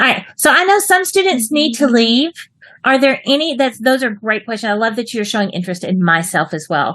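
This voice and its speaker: Animated and quick, a woman with a Texas accent speaks at a fairly high pitch, her voice making very wide pitch swings. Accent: Texas twang. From Texas, US. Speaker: online English writing teacher. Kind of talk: online class for children.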